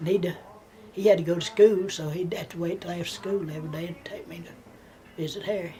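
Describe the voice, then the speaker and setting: Speaking very fast with an American accent, a woman uses a fairly low pitch and fairly even intonation, broken by long, frequent pauses. Her loudness swings widely, and there is noticeable background noise. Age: 80s+. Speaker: grandmother telling her life story. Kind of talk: family oral history interview. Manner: halting, repeating words.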